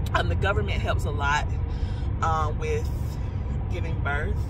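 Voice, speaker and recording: Over music in the background, a woman speaks at a moderate pace with a dry sound and no echo. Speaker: pregnant vlogger. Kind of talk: casual vlog chat. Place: car.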